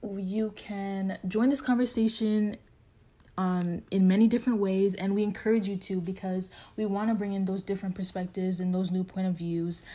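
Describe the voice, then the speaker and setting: In a very clean recording with a silent background, a woman with a medium pitch and a dark, mellow, somewhat breathy tone speaks at a moderate pace with fairly even intonation. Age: 20s. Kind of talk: casual chat.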